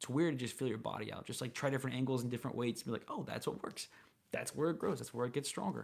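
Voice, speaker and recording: Talking at a very fast pace, a man with a medium-pitched voice and vocal fry uses ordinary pitch variation. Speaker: streamer. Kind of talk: casual chat. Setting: live stream. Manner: quieter than usual. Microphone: mic sounding pretty good.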